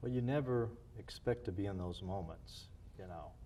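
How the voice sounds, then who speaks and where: Audible room echo surrounds a man's dark, mellow voice with vocal fry, lively intonation and a fairly slow pace. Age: 60s. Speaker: former missionary and church planter. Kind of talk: interview.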